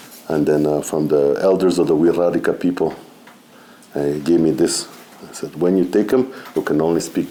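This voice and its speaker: Over noticeable background noise, a man with a non-native accent speaks at a moderate pace in a very deep, low pitch, leaving long, frequent pauses. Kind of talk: seminar talk. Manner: halting, with many fillers.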